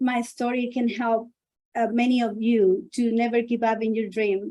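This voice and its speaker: A woman with a Spanish accent speaks at a fairly slow pace. Her pitch is fairly high, and her tone is dark and mellow. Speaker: author and businesswoman. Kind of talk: personal testimony speech.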